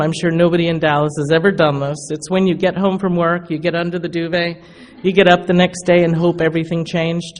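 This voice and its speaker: There is noticeable background noise as a woman with a fairly low pitch speaks at a fairly quick pace. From England, London. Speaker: recovery speaker. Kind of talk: testimony. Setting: stage with audience. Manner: animated.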